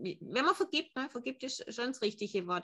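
A woman's voice with a bright, sharp tone. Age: 40s. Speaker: emotion coach. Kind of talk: casual interview.

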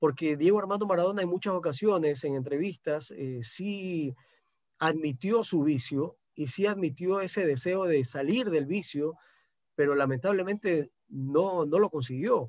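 A man speaks at a fairly slow pace with a fairly high pitch. His pitch varies in an ordinary way, and the recording is very clean with a silent background. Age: 40s. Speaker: sports journalist. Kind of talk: radio interview. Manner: halting, many repetitions and fillers.

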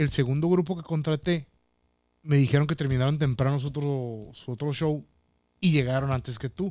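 This man's voice has a dark, mellow tone and fairly high pitch. He keeps a moderate pace with fairly even intonation. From Mexicali, Baja California, Mexico. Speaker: stand-up comedian. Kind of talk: casual chat.

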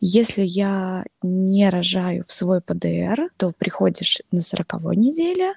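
A woman's voice, with a dry, close sound and no echo. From Belarus, Novopolotsk. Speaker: new mother. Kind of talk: casual interview.

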